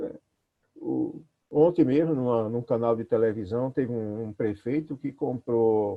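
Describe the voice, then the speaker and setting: A man's very slow delivery at a medium pitch. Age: 60s. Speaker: pastor. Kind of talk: talk. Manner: conversational, many fillers.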